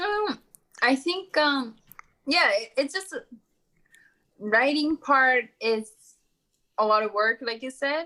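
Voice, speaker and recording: Using a raised, projected voice and a Japanese accent, a woman speaks at a very slow pace with high pitch, a bright, sharp tone, lively intonation and long, frequent pauses. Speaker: entrepreneur and author. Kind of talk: interview conversation. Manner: halting, many fillers.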